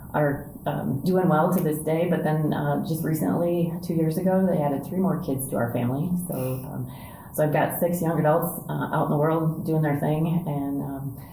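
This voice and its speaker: With hardly any pauses, a woman speaks at a moderate pace in an American accent, her very deep, low pitch kept to fairly even intonation, amid audible room echo and noticeable background noise. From US Midwest, Indiana. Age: 60s. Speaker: church staff member and spiritual director trainee. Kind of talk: podcast interview, casual conversation. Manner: conversational with many fillers.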